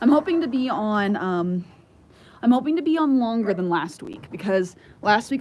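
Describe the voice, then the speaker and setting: Speaking with an American accent and lively intonation, a woman is heard over noticeable background noise. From Southern California. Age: 20s. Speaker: homesteader and livestreamer. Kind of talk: casual livestream chat. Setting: outdoors by the barn. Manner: halting, many fillers.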